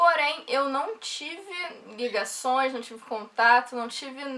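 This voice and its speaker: A woman's raised, projected voice at a high pitch, in a Rio de Janeiro accent, with ordinary pitch variation. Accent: carioca accent, noticeable. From Rio de Janeiro, Brazil. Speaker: software developer vlogger. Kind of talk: casual vlog talk.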